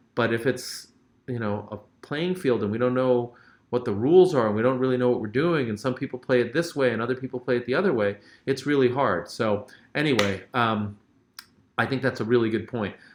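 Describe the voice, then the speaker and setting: A man at a fairly quick pace, with medium pitch and ordinary pitch variation. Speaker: short-term rental educator and host. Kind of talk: live stream Q&A. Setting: live stream from a hotel. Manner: fast; casual, filler-heavy.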